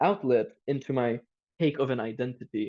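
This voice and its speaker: A man with a Turkish Cypriot accent speaks at a medium pitch with fairly even intonation. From Cyprus. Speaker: youth podcast panelist, student. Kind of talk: casual discussion podcast. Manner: halting, with repetitions and fillers.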